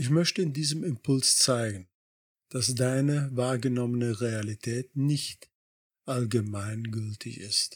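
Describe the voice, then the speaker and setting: A man's somewhat breathy voice at medium pitch, very slow pace, ordinary pitch variation and very even loudness, in a dry, close sound with no echo. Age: 60s. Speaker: life coach podcaster. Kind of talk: scripted narration. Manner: formal.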